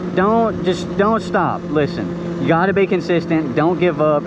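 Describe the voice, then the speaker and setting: Through audible room echo and noticeable background noise, a man talks at a high pitch with ordinary pitch variation. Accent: American. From rural Kentucky. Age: 20s. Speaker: motovlogger. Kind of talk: tutorial. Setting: outdoors in the woods, riding dirt bike. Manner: casual, animated.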